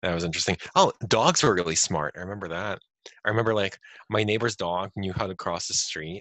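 Speaking in a plain, everyday voice, the man goes at a fairly quick pace with fairly low pitch and fairly even intonation. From Ukraine (Kharkov), then US from age 9. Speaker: tech professional. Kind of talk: casual chat.

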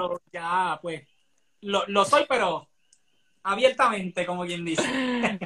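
A man speaks very slowly in a raised, projected voice, with long, frequent pauses. His tone is bright and sharp, his pitch high, with ordinary pitch variation. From Puerto Rico, Barranquitas. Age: 20s. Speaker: dancer and dance teacher. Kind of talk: casual chat.

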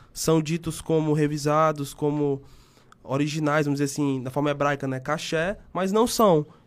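An ordinary speaking voice at a moderate pace. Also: man, fairly high pitch for a man. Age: 20s. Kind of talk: podcast interview.

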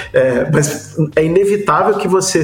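Music plays in the background as a man speaks in a high voice with audible room echo. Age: 40s. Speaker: advertising professional. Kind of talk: casual chat.

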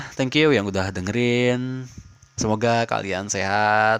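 Over noticeable background noise, a man at medium pitch talks at a very slow pace with fairly even intonation. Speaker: podcast host. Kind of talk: casual monologue. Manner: halting; casual.

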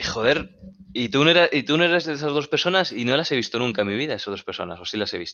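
A plain, everyday voice. The intonation is lively. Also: man. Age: 20s. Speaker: basketball coach and club founder. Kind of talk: casual chat.

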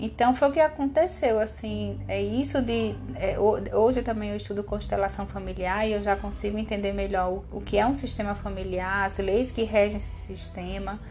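With hardly any pauses, a woman talks at a moderate speed over noticeable background noise. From Brazil, Natal (Rio Grande do Norte). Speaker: podcast co-host. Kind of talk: casual chat.

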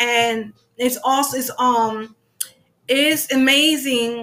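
Here a woman speaks with a high pitch. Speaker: livestream interviewer host. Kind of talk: casual interview chat. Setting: Instagram live stream.

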